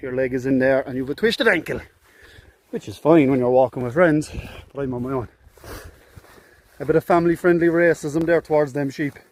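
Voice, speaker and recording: A man in a Cork accent talks at a fairly quick pace and fairly high pitch, with long, frequent pauses and big swings in loudness. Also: ordinary pitch variation. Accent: Cork accent, lilting. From Ireland, Cork. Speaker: hiking vlogger. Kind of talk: outdoor vlog commentary. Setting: outdoors, walking on a hill. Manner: casual, chatty.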